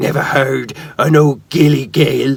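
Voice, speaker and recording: A man uses a put-on character voice that is gruff, raspy and wheezy. His pitch sits fairly high for a man, with monotone, flat intonation. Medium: read story. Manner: gruff and scornful.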